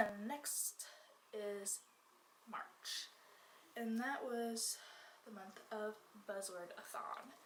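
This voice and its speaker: Audible room echo surrounds a woman whose fairly high voice keeps a fairly even intonation. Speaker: book reviewer. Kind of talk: casual chat.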